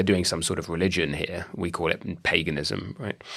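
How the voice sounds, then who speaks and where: Here a man speaks with a British accent. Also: very clean recording, silent background. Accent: British Isles. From British Isles. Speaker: podcast host, academic. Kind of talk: interview podcast.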